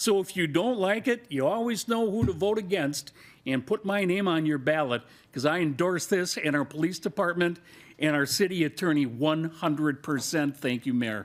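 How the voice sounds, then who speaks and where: In a very clean recording with a silent background, a man with an American accent speaks at a fairly high pitch with lively intonation and very even loudness. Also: moderate pace. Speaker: city council member. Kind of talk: council debate. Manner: boisterous, emphatic.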